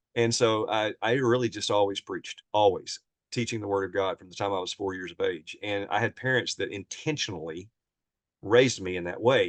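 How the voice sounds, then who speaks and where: A man talks at a fairly quick pace in a Southern US accent. The sound is dry and close, with no echo. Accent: Southern American. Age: 60s. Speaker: preacher. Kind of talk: interview, personal life story. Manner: casual, conversational.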